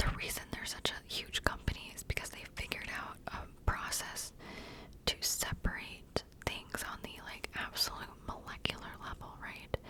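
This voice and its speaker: A woman's whisper moves at a moderate pace, with noticeable noise in the background. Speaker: ASMR creator. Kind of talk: whispered ASMR ramble. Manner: whispering; halting, filler-heavy.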